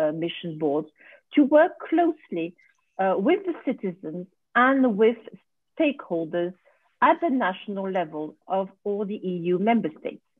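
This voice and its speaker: A woman with a French accent speaks at a fairly slow pace with very wide pitch swings, in a dry sound with no echo and a quiet background. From France. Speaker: research board vice chair; presenter. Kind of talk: conference presentation. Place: home room. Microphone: video call.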